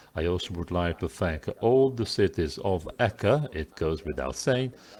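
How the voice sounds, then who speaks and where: On a very clean recording with a silent background, a man with a very deep, low pitch and vocal fry speaks at a moderate pace, his voice making very wide pitch swings. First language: Italian. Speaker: conference organizer. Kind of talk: closing remarks. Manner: halting.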